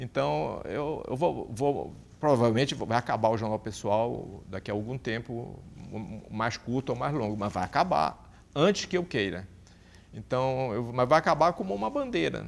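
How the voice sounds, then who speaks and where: A man's voice at medium pitch and moderate pace, with vocal fry and lively intonation, on a very clean recording with a silent background. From Brazil, Pará (Santarém). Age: 60s. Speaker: journalist. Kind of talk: interview. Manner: halting, many repetitions.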